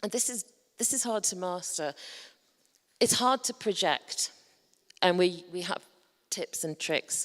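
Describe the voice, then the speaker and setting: A woman speaks at a medium pitch and a fairly slow pace, with ordinary pitch variation and long, frequent pauses. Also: very clean recording, silent background. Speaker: conference presenter. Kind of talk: presentation to a conference audience. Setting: stage with audience.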